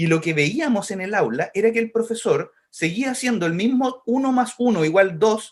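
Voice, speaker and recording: A man with a Chilean accent speaks in a high voice, his intonation lively and his words running on with hardly any pauses. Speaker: education technology organization director. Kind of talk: podcast interview. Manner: fast.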